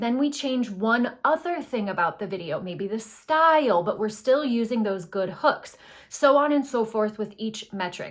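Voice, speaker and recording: Lively intonation marks a woman's plain, everyday voice, pitched fairly high. She keeps a moderate pace. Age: 30s. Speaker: marketing consultant. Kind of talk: casual talking-head tutorial. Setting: home recording, pillows stacked around.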